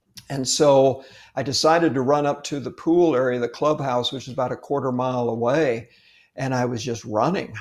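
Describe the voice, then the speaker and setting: At a moderate pace, a man talks in an ordinary speaking voice with medium pitch and fairly even intonation. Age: 60s. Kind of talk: casual faith interview.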